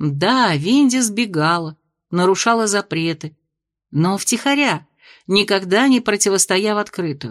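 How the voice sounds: Lively intonation from a natural reading voice, the background quiet.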